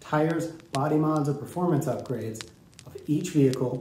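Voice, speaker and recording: Fairly even intonation comes through audible room echo and light background noise. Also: man. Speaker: show host. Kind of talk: show host intro. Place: studio.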